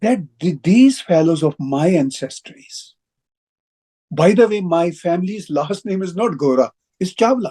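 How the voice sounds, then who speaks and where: With a Pakistani Punjabi accent, a man talks at a high pitch with lively intonation, leaving long, frequent pauses. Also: fairly slow pace, dry, close sound with no echo. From Pakistan, Punjab (Lahore). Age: 60s. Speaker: broadcaster and writer. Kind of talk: interview. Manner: halting, with repetitions.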